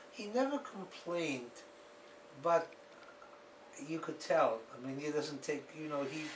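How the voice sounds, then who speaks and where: Long, frequent pauses break up the speech of a man with a fairly high pitch. Noticeable background noise and audible room echo fill the recording. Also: ordinary pitch variation, fairly slow pace. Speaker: author recounting his family's history. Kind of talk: interview.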